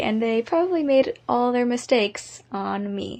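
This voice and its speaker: A woman's fairly slow delivery is accompanied by music in the background. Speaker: aspiring actor. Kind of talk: personal life story told to camera.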